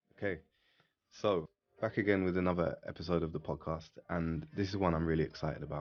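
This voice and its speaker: With an English accent, a man speaks at a very fast pace in a very deep, low pitch with fairly even intonation. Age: 30s. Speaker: podcast host, motorsport engineering consultant. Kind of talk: podcast interview.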